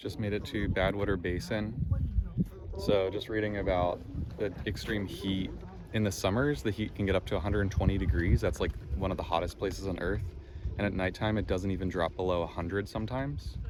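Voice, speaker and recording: In an American accent, the speaker talks at a fairly quick pace with ordinary pitch variation over noticeable background noise. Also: man, very deep, low pitch for a man. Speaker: travel vlogger. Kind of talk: casual vlog narration. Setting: outdoors. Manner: casual, filler-heavy.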